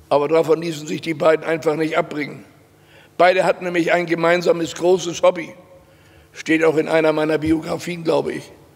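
Speaking at a fairly quick pace, a man keeps his intonation monotone and flat. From Hamburg, northern Germany; Germany. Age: 90. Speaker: Holocaust survivor and witness speaker; witness. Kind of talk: testimony. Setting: stage with audience. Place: hall. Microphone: podium.

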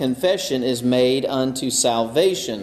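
A man speaking at a fairly slow pace with lively intonation. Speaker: pastor. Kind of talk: sermon. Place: church.

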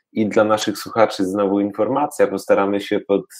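Someone with a Polish accent speaks at a fairly quick pace on a very clean recording with a silent background. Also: man. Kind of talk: casual interview.

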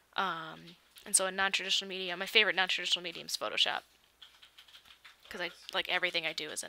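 A woman with a Michigan accent talks very fast at a medium pitch, with fairly even intonation. Her loudness swings widely, and she leaves long, frequent pauses. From Michigan, US Midwest. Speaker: YouTuber editing a video on a livestream. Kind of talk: casual livestream chat. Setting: livestream. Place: home room.

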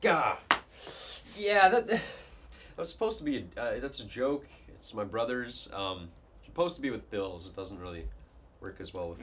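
At a moderate pace, a man speaks with long, frequent pauses and big swings in loudness, with light background noise. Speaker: student actor playing office boss. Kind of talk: acted comedic dialogue. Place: classroom. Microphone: camera far.

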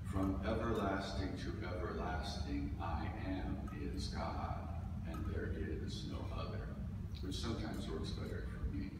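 A man speaks at a fairly slow pace, with long, frequent pauses. Loud background noise and audible room echo fill the recording. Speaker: minister giving a talk. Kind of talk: sermon. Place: church. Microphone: camera far.

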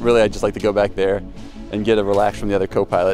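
Clear background music plays behind a man whose voice has a dry sound with no echo. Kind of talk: interview answer. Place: open country.

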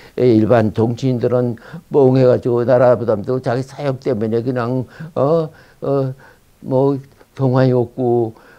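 Against a quiet background, a man speaks very slowly in a dark, mellow tone with monotone, flat intonation. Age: 80s+. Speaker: former intelligence officer. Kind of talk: interview answer. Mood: indignant, urgent warnings. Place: studio. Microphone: lapel.

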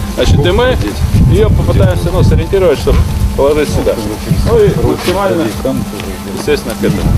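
A man talks at a very fast pace. Loud music plays behind him. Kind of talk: work instructions. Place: open country.

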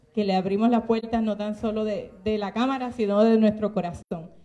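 A woman's voice with fairly even intonation. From Puerto Rico. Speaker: legislator; event host. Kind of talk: formal speech. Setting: legislative chamber with audience. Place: meeting room. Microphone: handheld.

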